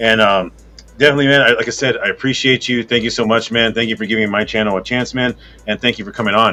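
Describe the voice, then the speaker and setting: Very fast speech from a man with fairly even intonation, music in the background. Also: medium pitch for a man. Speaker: podcast host. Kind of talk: interview. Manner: monotone.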